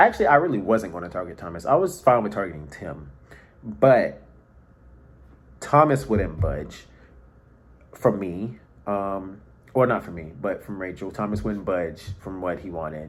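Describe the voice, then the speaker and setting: Fairly low male voice at a moderate pace, with lively intonation, long, frequent pauses, big swings in loudness and audible room echo. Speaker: online reality game contestant. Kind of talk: confessional video diary.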